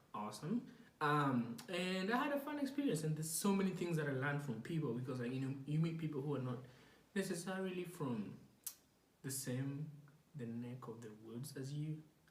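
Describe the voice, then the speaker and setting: A man talks at a fairly high pitch and moderate pace with lively intonation. Audible room echo and noticeable background noise surround him. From Kenya. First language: not English. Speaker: podcast host. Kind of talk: casual monologue. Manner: hesitant, many fillers.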